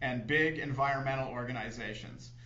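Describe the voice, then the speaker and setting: A man at a moderate pace, with ordinary pitch variation and audible room echo. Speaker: TV show host or guest. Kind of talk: reading an essay aloud on a talk show. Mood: critical, earnest. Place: studio.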